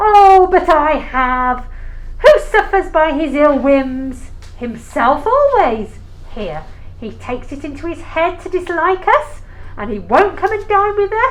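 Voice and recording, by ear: Using a put-on character voice, a woman speaks slowly at a high pitch with big pitch swings.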